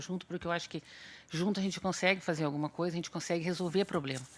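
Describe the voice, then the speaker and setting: A woman speaks at a very fast pace in a fairly low pitch, keeping a fairly even intonation. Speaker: consumer protection official, seminar panelist. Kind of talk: seminar panel talk. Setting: auditorium with audience. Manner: conversational, hesitant fillers.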